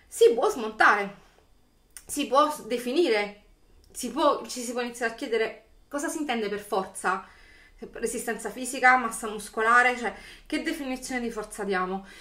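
With a bright, sharp tone and big swings in loudness, the speaker moves at a moderate pace with long, frequent pauses over a quiet background. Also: woman, high pitch for a woman, ordinary pitch variation. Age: 40s. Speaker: YouTuber; political commentator vlogger. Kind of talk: video commentary monologue. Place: home room. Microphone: webcam.

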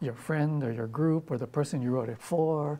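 A man talks at a moderate pace with a dark, mellow tone and ordinary pitch variation. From Hawaii. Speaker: poet. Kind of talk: interview answer. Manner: casual, hesitant. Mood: relaxed, thoughtful. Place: studio. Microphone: lapel.

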